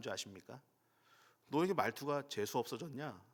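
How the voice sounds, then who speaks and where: The man's voice sits at a medium pitch. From Daejeon, South Korea. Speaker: pastor. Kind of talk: sermon.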